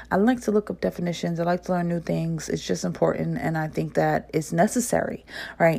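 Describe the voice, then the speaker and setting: An animated woman's voice with a slight New Jersey accent, on a very clean recording with a silent background. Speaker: podcast host. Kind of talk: casual solo talk to listeners.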